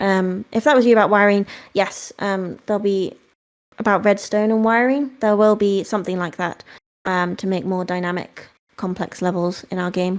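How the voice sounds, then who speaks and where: A woman with a British accent, medium-pitched, at a moderate pace with fairly even intonation, on a very clean recording with a silent background. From UK. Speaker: game company marketing staff. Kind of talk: live Q&A session. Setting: Discord voice chat.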